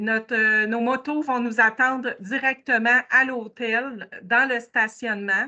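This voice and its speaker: With a Quebec accent, a woman speaks at a very slow pace. Her pitch is high and her intonation fairly even. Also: hardly any pauses. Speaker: motorcycle tour organizer. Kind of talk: presentation. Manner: hesitant, many fillers.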